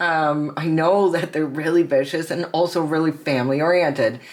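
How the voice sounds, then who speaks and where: Moderate-paced speech in a Canadian accent over noticeable background noise. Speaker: tarot reader. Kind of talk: tarot reading. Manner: casual, halting with many fillers.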